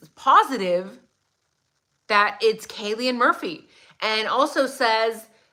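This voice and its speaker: A woman speaks in a high pitch with an animated tone. Her voice is bright and sharp. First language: not English. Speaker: true crime livestream commentator. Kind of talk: live stream commentary with chat greetings.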